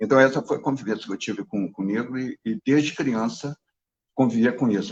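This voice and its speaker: A man with a medium pitch at a very fast pace. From Brazil, Rio de Janeiro (Baixada Fluminense, Duque de Caxias). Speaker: participant in a class discussion. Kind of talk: discussion in a class. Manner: hesitant, many fillers and repetitions.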